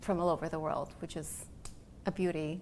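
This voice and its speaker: Speaking with a Spanish accent, a woman keeps her fairly low voice at a fairly even intonation. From Latin America (Peru-born, raised in Honduras and Austria). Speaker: interior design director. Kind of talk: interview. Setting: showroom studio.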